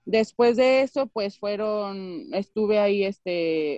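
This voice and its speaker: A woman's fairly high, fairly slow delivery in a plain, everyday voice, with a dry, close sound and no echo. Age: 30s. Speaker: basketball coach. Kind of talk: interview. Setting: video call.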